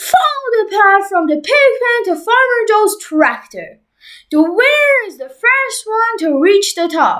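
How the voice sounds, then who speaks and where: At a fairly slow pace, a woman does a put-on character voice at an extremely high pitch. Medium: read story.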